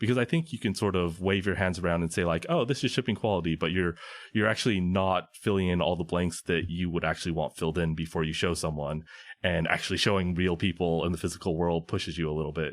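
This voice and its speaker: A man with an American accent and very deep, low pitch, at a very fast pace with fairly even intonation and very even loudness. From Southern California. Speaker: indie game developer. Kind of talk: podcast interview.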